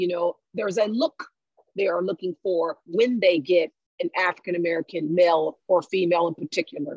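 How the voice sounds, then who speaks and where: In a dry, close recording with no echo, a woman with a normal speaking voice talks fairly quickly at a fairly low pitch with ordinary pitch variation. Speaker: guest, educator. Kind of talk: casual discussion podcast.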